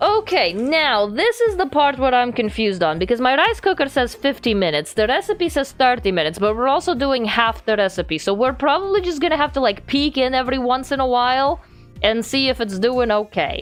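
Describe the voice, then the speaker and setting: A woman with a non-native accent, high-pitched and animated, at a fairly quick pace with hardly any pauses, very wide pitch swings and very even loudness. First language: not English. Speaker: vtuber streamer. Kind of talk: casual live-stream chat while baking.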